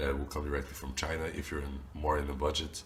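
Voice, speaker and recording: Noticeable background noise and audible room echo are present throughout. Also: man. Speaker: YouTuber teaching phone repair business. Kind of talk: tutorial. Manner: casual, with fillers.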